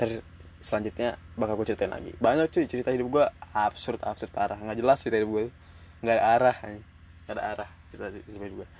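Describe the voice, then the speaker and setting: Speaking at a very fast pace, a man with a medium pitch shows big swings in loudness. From Depok, Indonesia. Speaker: podcaster, ship worker. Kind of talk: casual solo podcast chat. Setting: on a ship. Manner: casual, profane, animated; halting at times.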